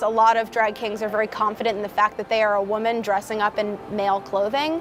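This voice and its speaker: This woman's voice sits at a fairly high pitch. Noticeable background noise runs behind her. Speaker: drag king performer. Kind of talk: documentary interview.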